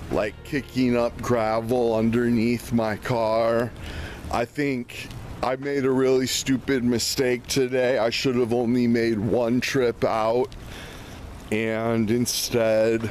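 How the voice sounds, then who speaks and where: Over light background noise, a man speaks very slowly with monotone, flat intonation and very even loudness, in a dry sound with no echo. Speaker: vlogger. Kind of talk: casual vlog chat. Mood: a bit anxious, regretful. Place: street. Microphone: phone near.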